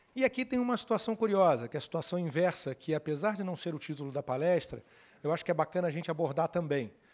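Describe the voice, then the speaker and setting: In a Carioca accent, a man talks very fast with a high pitch and lively intonation on a very clean recording with a silent background. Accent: carioca (Rio de Janeiro) Portuguese. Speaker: lawyer giving a conference talk. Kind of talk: conference talk. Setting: stage with audience. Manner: conversational.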